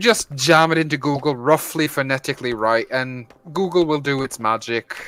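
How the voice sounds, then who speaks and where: In a Norwegian accent, a man with a bright, sharp tone speaks at a fairly high pitch and a moderate pace, with ordinary pitch variation and a dry, close sound with no echo. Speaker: gaming streamer. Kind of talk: casual chat.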